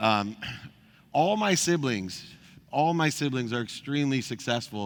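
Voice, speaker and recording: In a plain, everyday voice, a man with an American accent speaks at a medium pitch and a fairly slow pace, his intonation lively. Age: 50s. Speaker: motivational speaker. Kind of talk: keynote speech.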